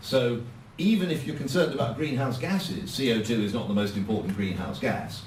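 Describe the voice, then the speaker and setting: A man with an English accent, fairly quick and lively in intonation, amid noticeable background noise and audible room echo. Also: medium pitch for a man. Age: 70s. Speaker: politician. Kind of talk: speech.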